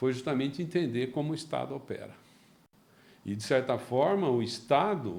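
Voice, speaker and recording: This man speaks at a moderate pace with a medium pitch and lively intonation. He leaves long, frequent pauses. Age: 60s. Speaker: company founder, entrepreneur. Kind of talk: interview. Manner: halting, repeats words.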